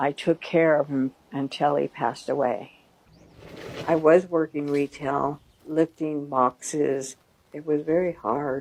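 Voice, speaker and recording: A woman talks at a fairly slow pace in a very deep, low pitch with monotone, flat intonation, the sound dry and close with no echo. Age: 70s. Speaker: retiree looking for work. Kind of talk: documentary interview.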